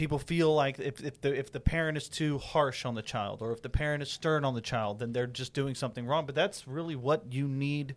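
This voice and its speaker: With a normal speaking voice, a man talks at a fairly quick pace with hardly any pauses, fairly high pitch and ordinary pitch variation, on a very clean recording with a silent background. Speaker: radio co-host. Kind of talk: interview.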